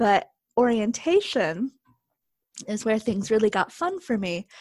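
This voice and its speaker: With an American accent and a plain, everyday voice, a woman talks fairly slowly at a medium pitch, the sound dry and close with no echo. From rural Texas. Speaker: former university student. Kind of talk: interview.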